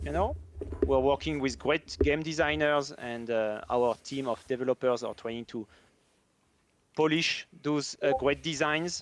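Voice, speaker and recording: Speaking with a French accent, a man uses a fairly high pitch with ordinary pitch variation. He goes at a fairly slow pace, and the sound is dry and close with no echo. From France. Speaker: game developer. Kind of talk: live stream chat.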